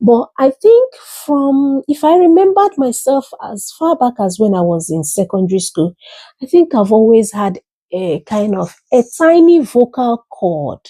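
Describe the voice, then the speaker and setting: Her high-pitched voice has a dark, mellow tone and very wide pitch swings, delivered at a fairly slow pace with a dry, close sound and no echo. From Africa. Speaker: YouTuber and educator. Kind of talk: casual monologue. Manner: explanatory, teacherly.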